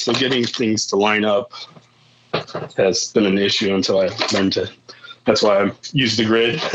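Noticeable background noise sits behind a man speaking at a fairly slow pace with an American accent. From northern Indiana, rural. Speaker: musician. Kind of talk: casual chat.

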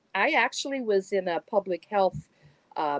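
An unremarkable speaking voice moves at a moderate pace with lively intonation. The sound is dry and close, with no echo. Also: woman. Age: 60s. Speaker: healer and channeler. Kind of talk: casual interview chat.

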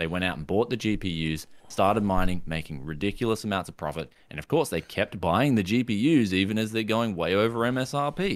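Lively intonation marks this man's fairly low voice, in an Australian accent. He moves at a fairly quick pace on a very clean recording with a silent background. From Queensland, Australia. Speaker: tech YouTuber. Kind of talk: casual chat.

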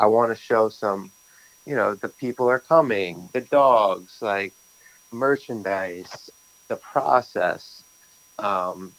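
A man with a fairly low voice talks very slowly, his pitch varying in an ordinary way. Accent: New York. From Brooklyn, New York. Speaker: bagel shop owner. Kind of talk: casual interview.

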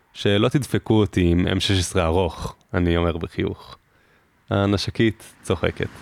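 In a dry, close sound with no echo, a man with a very deep, low pitch speaks at a very slow pace, with very even loudness and ordinary pitch variation. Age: 20s. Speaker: podcast host, army reservist. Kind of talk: personal narration.

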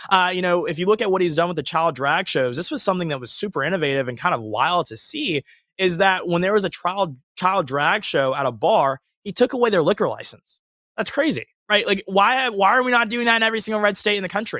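A man with a Southern US accent speaks at a very fast pace in a raised, projected voice with a bright, sharp tone. His pitch is high and swings very widely. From US South, Georgia. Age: 20s. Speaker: conservative commentator. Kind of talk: casual interview.

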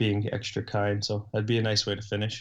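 A man with an American accent speaks at a fairly quick pace and a fairly low pitch over a quiet background. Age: 20s. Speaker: professional hockey player and coach. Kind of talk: interview.

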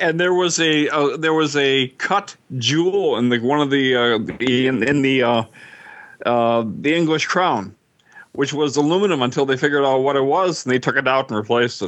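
At a moderate pace, a man with an unremarkable speaking voice talks at a fairly high pitch, with ordinary pitch variation and very even loudness. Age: 60s. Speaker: podcast co-host. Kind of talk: casual chat.

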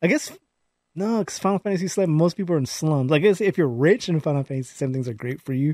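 A man with an American accent talks at a very fast pace, his dark, mellow tone set at a fairly high pitch, with a dry, close sound with no echo and a very clean recording over a silent background. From California, Palmdale. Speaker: podcast co-host. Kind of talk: casual chat.

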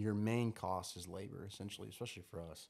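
Recorded very cleanly against a silent background, a man talks at a fairly low pitch and moderate pace with ordinary pitch variation. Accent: American. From Oklahoma, Tulsa area. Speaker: landscaping business owner. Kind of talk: casual chat.

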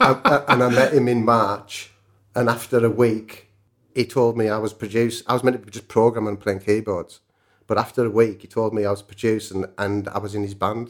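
On a very clean recording with a silent background, a man with a northern English accent speaks at a fairly quick pace, medium pitch and fairly even intonation. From northern England. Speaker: music producer and songwriter. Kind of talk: casual interview chat. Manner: casual, chatty.

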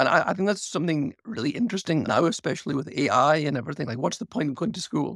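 With a British accent, a man talks very fast with hardly any pauses, lively intonation, a fairly high pitch and vocal fry, in a dry, close sound with no echo. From UK. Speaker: architect and author. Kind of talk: interview.

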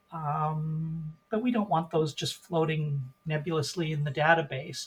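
This man has an American accent and a fairly high-pitched voice. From US Pacific Northwest, Portland, Oregon. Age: 60s. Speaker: volunteer genealogist. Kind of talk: podcast interview.

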